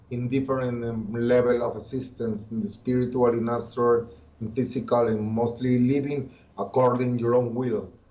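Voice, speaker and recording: Speaking with a Colombian accent, a man keeps a medium pitch and fairly even intonation. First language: Spanish. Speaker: occultist and musician. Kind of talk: interview. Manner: halting.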